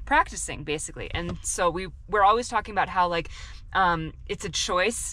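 A woman at a moderate pace, with a dry sound without echo and light background noise. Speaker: vlogger. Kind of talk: casual vlog chat. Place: car. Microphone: phone near.

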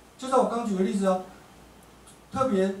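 A man speaks at a high pitch with ordinary pitch variation, with audible room echo and light background noise. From Taiwan. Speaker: law professor; speaker. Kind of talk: audience Q&A answer; public lecture. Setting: café talk with live audience. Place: cafe.

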